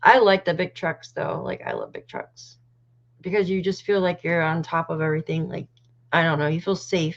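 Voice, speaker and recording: A moderate pace, fairly even intonation, and a Canadian accent. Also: woman, fairly low pitch for a woman. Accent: almost Canadian. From North American.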